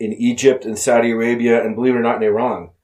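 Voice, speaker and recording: The pace runs fairly quick. Delivery stays monotone, with flat intonation. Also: man. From grew up abroad in Europe and the Middle East. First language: French. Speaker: Marine veteran and former diplomat. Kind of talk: casual interview chat.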